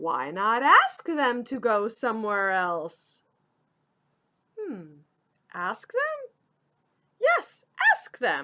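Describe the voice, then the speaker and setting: In a put-on character voice, a woman speaks at a very slow pace with a fairly high pitch and long, frequent pauses. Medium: read story. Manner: calm, matter-of-fact.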